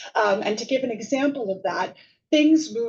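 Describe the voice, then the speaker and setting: Moderate pace and ordinary pitch variation from a woman's somewhat breathy voice. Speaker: professor. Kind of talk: lecture. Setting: seminar room with live and online audience.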